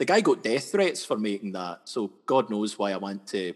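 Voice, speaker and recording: At a fairly quick pace, a man talks in a fairly low pitch. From west coast of Scotland. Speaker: comedy sketch artist. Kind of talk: casual interview chat.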